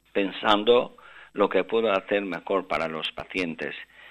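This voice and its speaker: A man with a normal speaking voice talks at a moderate pace and a fairly low pitch. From Albanian father, Spanish mother; mother lived in Russia. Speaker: neurosurgeon. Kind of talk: interview.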